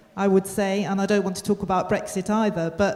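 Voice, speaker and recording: With noticeable background noise, a woman speaks at a medium pitch with a British accent. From Britain. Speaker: audience member, academic. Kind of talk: audience question. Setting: conference hall with audience. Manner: hesitant, many fillers.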